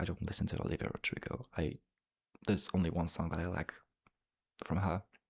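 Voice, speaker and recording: With a Polish accent, a man speaks fairly quickly at a very deep, low pitch with lively intonation, the sound dry and close with no echo. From Poland. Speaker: ASMR YouTuber. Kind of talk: ASMR casual talk, reading viewer comments. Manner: whispering; fast.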